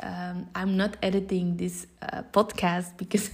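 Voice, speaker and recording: A woman's medium-pitched voice with a Flemish accent, fairly slow and monotone, flat in intonation. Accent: Belgian Dutch (Flemish) accent in English. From Belgium. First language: Dutch. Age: 30s. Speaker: social entrepreneur and motivational coach. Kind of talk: podcast monologue. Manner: hesitant, many filler sounds.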